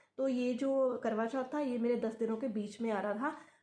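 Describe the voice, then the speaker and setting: A quiet, fairly high female voice, dark and mellow in tone, with fairly even intonation at a moderate pace and audible room echo. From Punjab, India. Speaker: YouTuber sharing IVF experience. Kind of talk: casual vlog talk. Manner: halting, with filler sounds; quiet, late at night.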